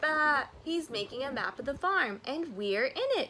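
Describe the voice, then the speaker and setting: A woman's put-on character voice, high in pitch, at a moderate pace over clear background noise. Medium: read story.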